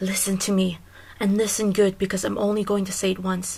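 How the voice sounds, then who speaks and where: In a put-on character voice, a woman whispers with a hissing, menacing tone at a fairly quick pace over clear background noise. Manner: hissed, menacing, in a low whisper.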